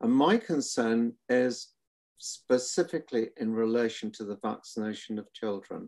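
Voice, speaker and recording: In a very clean recording with a silent background, a man with a Welsh accent talks at a moderate pace and medium pitch with ordinary pitch variation. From Wales, Cardiff. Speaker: retired surgeon. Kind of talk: panel interview.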